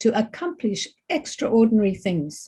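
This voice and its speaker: Somewhat breathy, with a dark, mellow tone, a woman speaks in a fairly high pitch with lively intonation. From Zambia. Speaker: keynote speaker. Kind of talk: keynote speech. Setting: online meeting.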